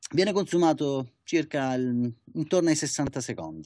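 The background is quiet. A man with a fairly high pitch talks at a fairly slow pace with lively intonation. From Italy. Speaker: barista, coffee competitor. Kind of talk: interview. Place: office. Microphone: webcam.

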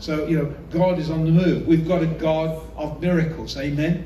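Audible room echo and light background noise surround the speech. A man talks at a moderate pace with fairly even intonation. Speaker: visiting preacher. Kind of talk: sermon. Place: hall.

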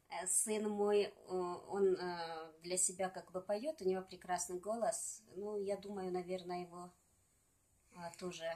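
Speaking at a very slow pace, a woman keeps her intonation fairly even and leaves long, frequent pauses. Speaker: singer and poet. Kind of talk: casual interview chat with poem reading. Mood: calm, reflective. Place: home room. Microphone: phone near.

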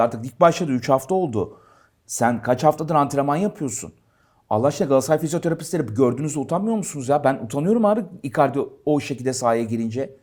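In a very clean recording with a silent background, a man with a fairly high pitch speaks very fast in an animated tone with lively intonation. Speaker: football show host. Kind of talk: casual sports talk show.

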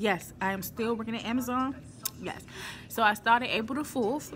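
A woman with ordinary pitch variation, faint music in the background. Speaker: warehouse worker vlogger. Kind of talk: casual vlog chat. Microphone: phone near.

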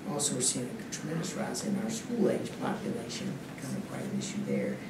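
A man is heard with audible room echo and loud background noise. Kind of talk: formal presentation to board. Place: hall. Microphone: podium.

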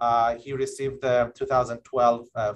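The man's voice sits at a medium pitch.

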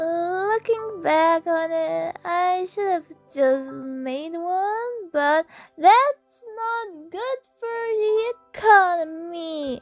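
Over music in the background, a female-sounding put-on character voice at an extremely high pitch speaks at a very slow pace. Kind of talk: roleplay audio to listener. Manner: stammering, rambling, affectionate.

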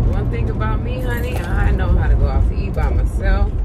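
A woman talks at a moderate speed while loud background noise plays. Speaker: vlogger. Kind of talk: casual vlog chat. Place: car.

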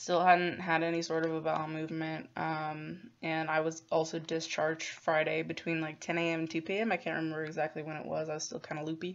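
A woman speaks with a very deep, low pitch and monotone, flat intonation. She leaves hardly any pauses. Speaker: vlogger recounting a hospital stay. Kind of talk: casual vlog chat. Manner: drowsy, slow, low-energy recovery voice. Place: home room. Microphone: phone near.

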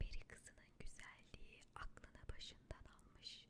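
Soft-spoken whispering is heard over loud background noise. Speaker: audiobook narrator. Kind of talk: storytelling read-aloud. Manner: soft whispered storytelling.

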